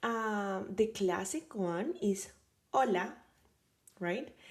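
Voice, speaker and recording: A woman at medium pitch in a Spanish accent. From Colombia, Caribbean coast. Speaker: language teacher, linguist. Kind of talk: tutorial. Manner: casual, many fillers.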